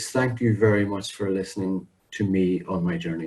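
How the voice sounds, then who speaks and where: A somewhat breathy man's voice, fairly low in pitch, with a British accent. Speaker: public speaking club member. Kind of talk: prepared speech. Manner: clear and well-paused.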